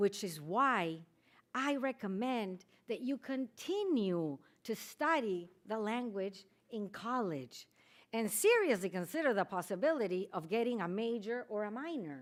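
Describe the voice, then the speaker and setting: A woman's fairly high voice at a fairly slow pace, with very wide pitch swings. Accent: Peruvian. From Peru. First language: Spanish. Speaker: Spanish teacher. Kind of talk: speech. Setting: chapel ceremony.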